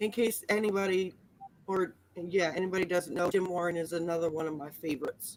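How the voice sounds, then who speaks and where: Someone speaks at a very fast pace with fairly even intonation over noticeable background noise. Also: woman, fairly low pitch for a woman. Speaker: art livestream host. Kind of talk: casual chat.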